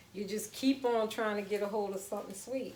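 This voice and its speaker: With a New Orleans accent, a woman speaks at a medium pitch and with fairly even intonation. Audible room echo and noticeable background noise come through in the recording. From US South, New Orleans. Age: 40s. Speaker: home cooking channel host. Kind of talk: live cooking demonstration. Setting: home kitchen, livestream. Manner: casual, chatty.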